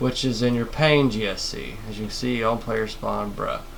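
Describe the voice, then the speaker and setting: Noticeable background noise and audible room echo around a medium-pitched male voice. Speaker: modding tutorial maker. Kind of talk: screen-recorded tutorial. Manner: fast; stuttering, halting.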